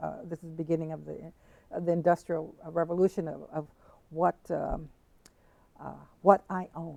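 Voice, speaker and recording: In an American accent, a dark, mellow voice with vocal fry speaks at a moderate pace in a monotone, flat way, with long, frequent pauses. Its loudness swings widely, and the sound is dry and close with no echo. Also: woman, fairly low pitch for a woman. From San Diego, California. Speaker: visual artist and activist. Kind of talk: interview answer.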